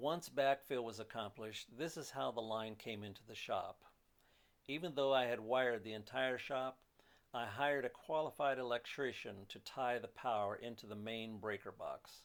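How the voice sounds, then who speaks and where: A man's unremarkable speaking voice at medium pitch, moderate in pace, with ordinary pitch variation. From moved often: Pennsylvania, Maryland, Alaska, western US, Canada. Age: 60s. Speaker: hobbyist machinist, DIY builder. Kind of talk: narrated slideshow commentary.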